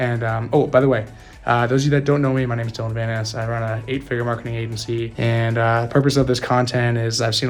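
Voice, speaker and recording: A very fast, somewhat breathy man's voice at medium pitch, with audible room echo. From Canada. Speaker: marketing agency owner and speaker. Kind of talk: keynote talk; casual video intro. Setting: stage with audience. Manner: casual, many filler words.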